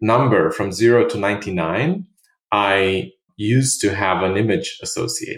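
Somewhat breathy, a man at medium pitch speaks with very wide pitch swings. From Romania. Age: 30s. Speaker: startup founder and CEO. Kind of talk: interview.

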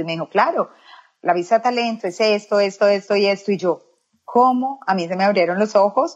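Here is an unremarkable speaking voice moving at a fairly quick pace. Its pitch varies in an ordinary way. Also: woman. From Colombia, Medellín. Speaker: makeup artist. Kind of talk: interview.

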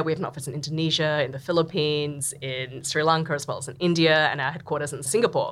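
With an Australian accent, a woman talks at a fairly quick pace in a very deep, low pitch, her intonation fairly even. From Australia (Sydney). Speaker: venture capital partner. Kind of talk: interview conversation. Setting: studio.

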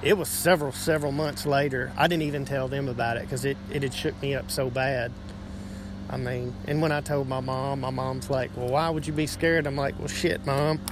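A man with a fairly high pitch talks at a moderate pace. His pitch varies in ordinary ways over noticeable background noise. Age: 30s. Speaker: listener. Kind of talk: personal story in a voice message.

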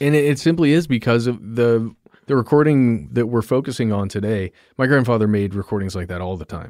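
A man speaks at a fairly quick pace with lively intonation and a medium pitch. It is a normal speaking voice on a very clean recording with a silent background. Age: 30s. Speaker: podcast producer. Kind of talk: casual interview.

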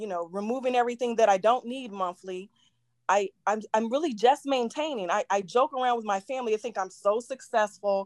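A woman's plain, everyday voice, fairly high in pitch, with ordinary pitch variation, a fairly quick pace and a dry, close sound with no echo. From Virginia, US. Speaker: caller. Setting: live video call.

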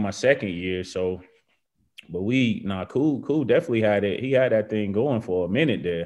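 Here a man speaks at a fairly low pitch. His pace is moderate and his pitch variation ordinary. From US South, Georgia. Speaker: professional football player. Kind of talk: casual chat.

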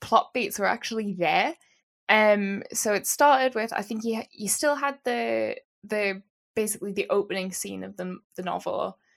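A woman with a Geordie accent at a moderate pace, big swings in loudness, on a very clean recording with a silent background. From northern England, Newcastle. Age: 20s. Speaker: novelist. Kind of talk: interview.

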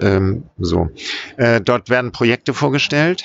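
Using ordinary pitch variation, a man speaks at medium pitch and a fairly slow pace. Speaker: writer and activist. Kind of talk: interview. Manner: enthusiastic.

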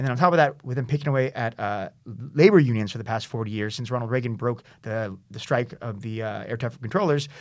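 At a very fast pace, a man talks with a Californian accent. His pitch is medium, with ordinary variation. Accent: Californian American English. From US West Coast, San Diego. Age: 30s. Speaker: writer and website founder. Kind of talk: casual interview. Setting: studio.

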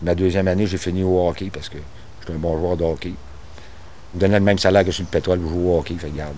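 This man has a Quebec accent and a very deep, low pitch. His tone is dark and mellow, with fairly even intonation. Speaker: railway foreman. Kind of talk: documentary interview.

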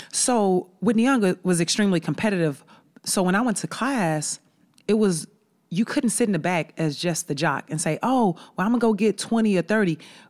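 A woman with an American accent and an ordinary speaking voice, medium pitch, moderate pace and lively intonation, in a very clean recording with a silent background. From Chicago. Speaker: college basketball head coach. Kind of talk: casual interview chat. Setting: studio.

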